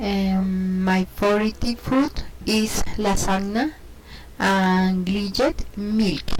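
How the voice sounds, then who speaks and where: Speaking very slowly, a woman sounds somewhat breathy and uses ordinary pitch variation. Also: medium pitch for a woman. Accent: Spanish. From Colombia, Cundinamarca. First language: Spanish. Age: 30s. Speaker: English learner. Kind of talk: self-introduction practice. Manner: halting, many hesitations.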